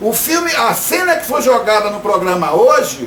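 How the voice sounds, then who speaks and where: Amid noticeable background noise and audible room echo, a man speaks fairly slowly at an extremely high pitch, with very wide pitch swings. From Brazil, Salvador suburbs (Bahia). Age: 60s. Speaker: actor and theatre director. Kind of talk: video statement, personal rebuttal. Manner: halting, self-correcting.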